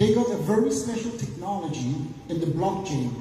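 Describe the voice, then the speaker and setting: Over noticeable background noise and audible room echo, a man's voice rises and falls in very wide pitch swings. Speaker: business seminar speaker. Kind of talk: motivational seminar talk. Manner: fast.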